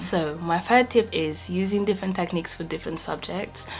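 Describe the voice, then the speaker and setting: A woman at a moderate pace, fairly low in pitch, with faint music in the background. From Portugal. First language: Portuguese. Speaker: medical student; student vlogger. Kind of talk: casual talk to camera. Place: home room.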